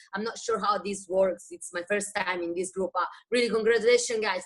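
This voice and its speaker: A woman talks in an Italian accent at a medium pitch. She keeps a fairly quick pace. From Italy, Rome. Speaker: wellness business distributor. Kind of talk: testimony.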